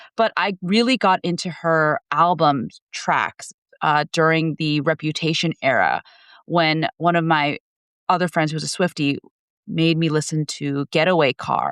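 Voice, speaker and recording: A woman with an unremarkable speaking voice talks fairly slowly and fairly low, with ordinary pitch variation, in a dry, close sound with no echo and a quiet background. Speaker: podcaster and English professor. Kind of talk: casual chat.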